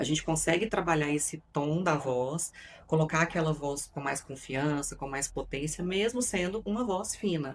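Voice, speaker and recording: At a moderate pace, a woman speaks with ordinary pitch variation. Her voice is very deep and low in pitch. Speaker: psychoanalyst and communication coach. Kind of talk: podcast interview. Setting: studio.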